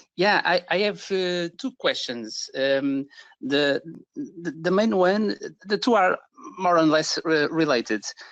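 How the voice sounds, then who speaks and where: Against a quiet background, a man with a Portuguese accent speaks very slowly at a high pitch with very wide pitch swings. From Portugal. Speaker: caller, digital marketing agency owner. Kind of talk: live Q&A question. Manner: halting, many fillers.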